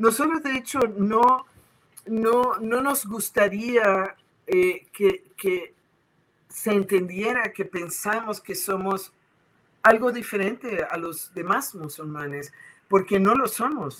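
A woman at a very slow pace, with lively intonation. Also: medium pitch for a woman. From Puerto Rico. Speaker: Sufi spiritual leader. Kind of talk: interview.

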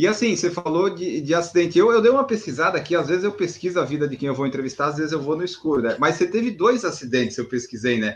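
With a southern Brazilian accent, a high-pitched man races along at a very fast pace with hardly any pauses and very wide pitch swings. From southern Brazil, Florianópolis. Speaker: podcast host. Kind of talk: interview.

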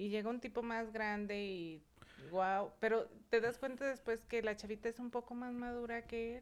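Fairly high pitch and fairly even intonation from a woman at a moderate pace, with an unremarkable speaking voice. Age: 30s. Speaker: beauty professional and salon owner. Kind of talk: casual chat.

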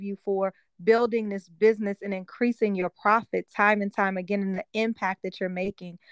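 A woman's medium-pitched voice at a moderate pace, with a dry, close sound with no echo. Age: 40s. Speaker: life coach and business owner. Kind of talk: interview. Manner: animated.

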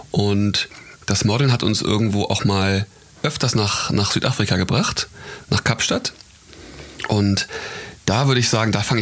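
Noticeable background noise behind a moderate pace and ordinary pitch variation. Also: man. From Hamburg, northern Germany. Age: 20s. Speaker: fashion model and wine entrepreneur. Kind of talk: casual chat. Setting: outdoors at a vineyard.

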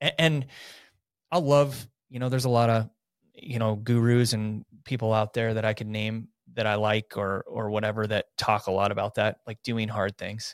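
A man with an American accent speaks at a moderate pace and medium pitch, with fairly even intonation and a normal speaking voice. The sound is dry and close with no echo, on a very clean recording with a silent background. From North Idaho (Coeur d'Alene). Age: 40s. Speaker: professional triathlete and realtor. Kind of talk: casual chat. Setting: studio.

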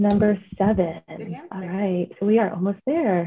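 The speaker is a woman. Her pace is fairly slow. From California, first five years in the Philippines. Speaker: podcast co-host, executive assistant. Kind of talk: quiz game hosting; casual chat.

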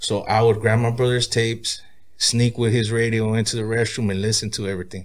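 A man speaks at medium pitch with an American accent. His voice is somewhat breathy, with monotone, flat intonation. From Oxnard, California. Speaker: rapper. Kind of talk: casual interview.

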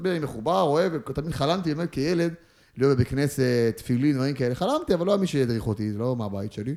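Delivered at a fairly quick pace, this plain, everyday voice has lively intonation. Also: man. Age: 20s. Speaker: footballer. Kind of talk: casual chat. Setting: studio.

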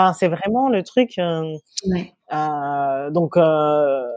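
Lively intonation in a dark, mellow tone, recorded dry and close with no echo. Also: woman. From metropolitan France. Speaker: entrepreneur and food blogger. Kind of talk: interview conversation.

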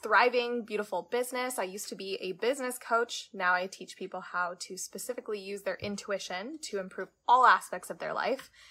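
A woman talks with ordinary pitch variation in a bright, sharp tone. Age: 30s. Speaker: podcast host and intuition coach. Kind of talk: live stream monologue. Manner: animated.

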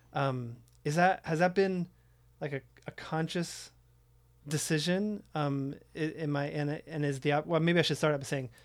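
A man with an American accent speaks at a fairly high pitch with fairly even intonation. The recording is very clean, with a silent background. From Oakland, California. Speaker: podcast host. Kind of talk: interview. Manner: hesitant, many fillers.

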